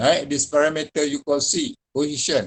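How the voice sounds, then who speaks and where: A man with a Malaysian accent and fairly high pitch, speaking at a fairly slow pace in a dry, close sound with no echo. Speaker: university lecturer. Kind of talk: lecture.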